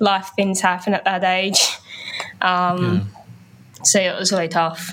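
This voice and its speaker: With an Australian accent, a woman speaks at a medium pitch in a monotone, flat intonation. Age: 20s. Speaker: music journalist and youth charity ambassador. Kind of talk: interview.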